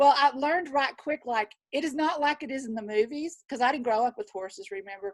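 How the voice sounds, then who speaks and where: Her intonation lively, a woman speaks in a high pitch with a Southern US accent. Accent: Southern drawl. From Texas. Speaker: nurse and wellness practitioner. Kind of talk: panel introduction. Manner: animated.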